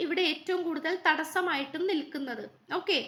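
The speaker is a woman. Her pitch is extremely high. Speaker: tarot card reader. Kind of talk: tarot reading monologue.

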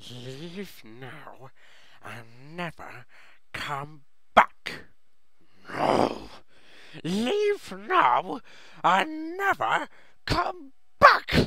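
In a put-on character voice, the man drags his words out very slowly, stopping often for long pauses. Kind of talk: character impression. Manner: hissing, whiny, agitated.

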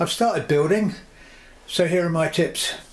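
A man's high-pitched voice at a moderate pace, with ordinary pitch variation. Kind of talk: tutorial. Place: home room.

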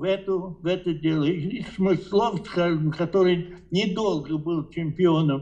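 At a very slow pace, a man speaks at a high pitch with fairly even intonation. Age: 80s+. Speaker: chess grandmaster. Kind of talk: interview answer. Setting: phone line. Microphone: video call.

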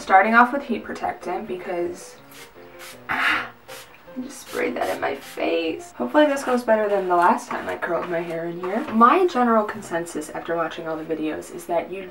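A woman at a moderate pace, with big swings in loudness and clear music in the background. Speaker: vlogger. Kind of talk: casual vlog chat. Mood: playful, sarcastic. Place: bathroom. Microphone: camera far.

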